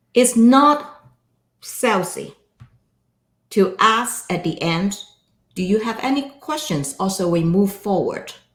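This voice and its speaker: With lively intonation and a fairly high pitch, a woman speaks at a very slow pace with long, frequent pauses in a room with audible echo. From Hong Kong. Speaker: financial advisor and speaker. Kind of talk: interview chat. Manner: loud.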